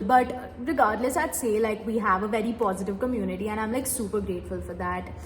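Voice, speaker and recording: Speaking with a Tamil accent at a very fast pace with hardly any pauses, a woman uses a fairly high pitch and ordinary pitch variation, heard with audible room echo and noticeable background noise. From India, Mumbai. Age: 20s. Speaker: medical graduate and YouTuber. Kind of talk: Q&A vlog, casual talk.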